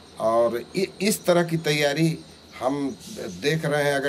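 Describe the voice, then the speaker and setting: With noticeable background noise around him, a man talks in a fairly high pitch. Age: 60s. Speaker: opposition politician. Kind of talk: interview.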